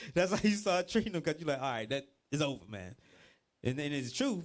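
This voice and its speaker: In a very clean recording with a silent background, a man with a Georgia accent speaks at fairly high pitch in an animated tone with lively intonation. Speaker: religious teacher. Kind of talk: bible class teaching.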